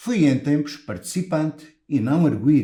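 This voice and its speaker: The voice belongs to a man and is somewhat breathy. It has a dark, mellow tone. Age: 60s. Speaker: lawyer running for professional body office. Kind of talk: campaign speech. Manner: formal.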